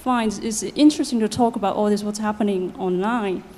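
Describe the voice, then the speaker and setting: Audible room echo surrounds this recording. A woman speaks at a medium pitch with ordinary pitch variation. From China. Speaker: researcher, audience member. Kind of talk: audience question at conference. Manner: quiet.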